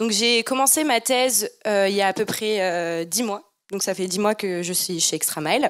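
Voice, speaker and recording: A woman with a normal speaking voice talks at a moderate pace and medium pitch with ordinary pitch variation, in a very clean recording with a silent background. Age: 20s. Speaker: PhD student engineer. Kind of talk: presentation to students.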